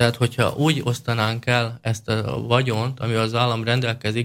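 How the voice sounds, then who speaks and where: A normal speaking voice at a moderate pace on a very clean recording with a silent background. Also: man. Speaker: party leader. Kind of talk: interview. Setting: studio.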